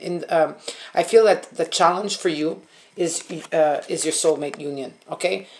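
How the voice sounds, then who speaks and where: A woman with a fairly low pitch and an unremarkable speaking voice talks at a fairly slow pace. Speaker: tarot reader, online psychic medium. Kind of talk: casual, conversational, repeats "okay?" often. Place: home room. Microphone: camera far.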